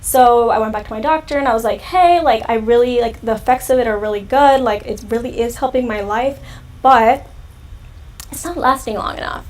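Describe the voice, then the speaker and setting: In a Southern California accent, a woman talks at a fairly quick pace, her high pitch showing ordinary variation. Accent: valley girl. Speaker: youtuber. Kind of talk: live stream Q&A chat. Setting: live stream. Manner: casual, filler-heavy.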